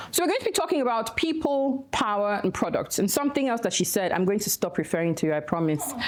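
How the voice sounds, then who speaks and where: The speaker races along at a very fast pace with hardly any pauses, pitch swinging very widely while loudness stays very even. Noticeable background noise runs underneath. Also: woman, fairly high pitch for a woman. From Nigeria. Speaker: activist and nonprofit director. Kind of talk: conference talk.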